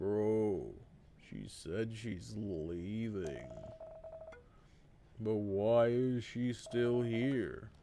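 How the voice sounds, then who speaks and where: A man puts on a character voice at medium pitch and a very slow pace. Long, frequent pauses break it up over clear background noise. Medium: game stream. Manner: nervous, bro-ish.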